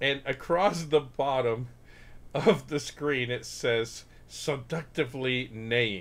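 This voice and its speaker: Here a man talks at a very slow pace. His medium pitch carries lively intonation. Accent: American. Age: 50s. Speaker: podcast host and former Spanish teacher. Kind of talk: casual chat. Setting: livestream with video. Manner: animated.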